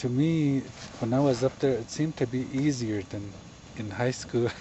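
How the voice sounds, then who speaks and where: A man's medium-pitched voice at a fairly slow pace, with a Navajo Nation accent. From Navajo Nation, southwestern US. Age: 70s. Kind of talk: storytelling interview answer. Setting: outdoors, around a camp fire.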